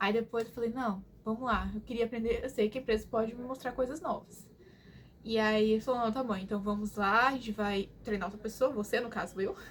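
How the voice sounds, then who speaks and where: Somewhat breathy and animated in tone, this voice moves at a fairly quick pace. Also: woman, fairly high pitch for a woman. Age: 20s. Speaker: vlogger. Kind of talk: casual chat.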